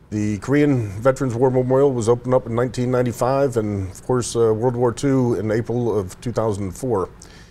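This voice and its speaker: A male voice of medium pitch with an American accent and fairly even intonation. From Buffalo, New York. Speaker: veterans charity volunteer. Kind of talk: interview.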